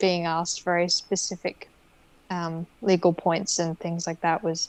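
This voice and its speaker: Speaking at a fairly slow pace, a woman with an Australian accent keeps her fairly low pitch in a flat monotone. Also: dry, close sound with no echo. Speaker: lawyer and hypnotherapist. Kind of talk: interview answer.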